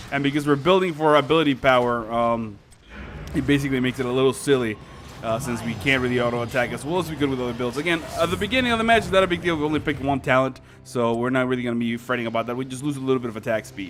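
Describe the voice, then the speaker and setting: Very fast speech from a man at a medium pitch, with a Spanish accent, ordinary pitch variation and music in the background. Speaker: gaming YouTuber. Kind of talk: gameplay commentary. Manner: casual, many fillers.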